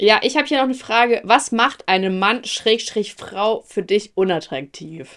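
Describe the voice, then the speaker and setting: Her intonation rises and falls in a lively way. The woman speaks very slowly at a fairly high pitch. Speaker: podcast co-host. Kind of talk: casual chat.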